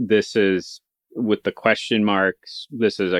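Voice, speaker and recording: An Idaho accent at a fairly slow pace. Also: man, dry, close sound with no echo, quiet background. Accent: rural Idaho. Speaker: podcast co-host. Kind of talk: casual book discussion.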